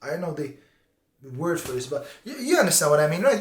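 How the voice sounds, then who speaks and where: The voice belongs to a man. He speaks with a non-native accent. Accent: foreign. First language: not English. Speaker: BJJ instructor. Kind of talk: casual vlog talk to camera. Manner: animated; halting.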